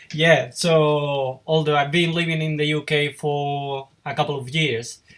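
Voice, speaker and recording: A man with a Spanish accent speaks at a fairly slow pace. His intonation stays flat and monotone. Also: fairly high pitch for a man. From Spain. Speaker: YouTuber and web designer. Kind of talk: interview. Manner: halting.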